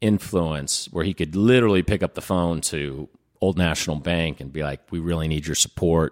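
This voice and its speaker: The sound is dry and close, with no echo. The speaker has a Midwestern American accent and talks at a moderate pace. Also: man. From Indianapolis, Indiana. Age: 30s. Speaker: nonprofit leader. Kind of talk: interview.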